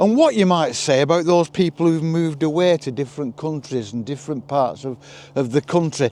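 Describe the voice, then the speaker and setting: The voice belongs to a man with a fairly high pitch and a dark, mellow tone. His intonation is lively. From northern England, Leigh, Lancashire. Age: 70s. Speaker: vlogger. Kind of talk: walking monologue. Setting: outdoors. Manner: reflective.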